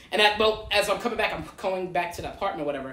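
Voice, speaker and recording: A man with an American accent at a very fast pace, with audible room echo. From Detroit. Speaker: podcast guest. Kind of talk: casual chat. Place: home room. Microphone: camera far.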